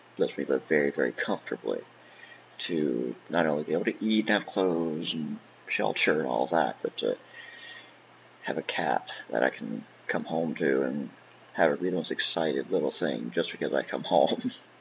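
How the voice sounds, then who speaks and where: Over light background noise, a man speaks at a moderate pace with long, frequent pauses. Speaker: vlogger. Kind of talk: casual vlog chat. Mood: warm, grateful, light laughs. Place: home room. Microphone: webcam.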